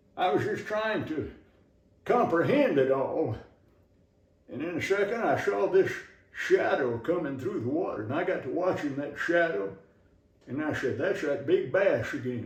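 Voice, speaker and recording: Against noticeable background noise, a man with an American accent speaks at a moderate pace with long, frequent pauses. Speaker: Southern humorist, storyteller. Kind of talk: humorous tall-tale storytelling.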